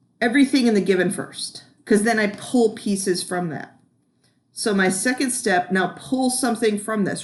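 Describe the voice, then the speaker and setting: An unremarkable speaking voice from a woman at medium pitch, fairly quick in pace, with ordinary pitch variation. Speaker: math teacher. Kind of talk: video lesson.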